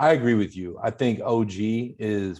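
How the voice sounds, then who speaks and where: In a Pittsburgh accent, a man speaks at a fairly low pitch. The background is quiet. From US, Pittsburgh. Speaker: hip-hop podcast host. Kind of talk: casual chat, album review.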